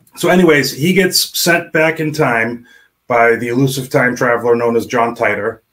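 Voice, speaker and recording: A man of medium pitch speaks in a plain, everyday voice. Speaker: indie author. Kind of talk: casual chat. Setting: video call.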